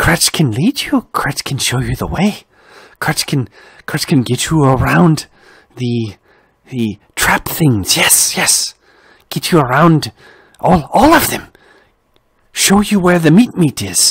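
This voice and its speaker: This is a put-on character voice pitched low-to-middle. It moves at a very slow pace with long, frequent pauses. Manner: scheming, sly.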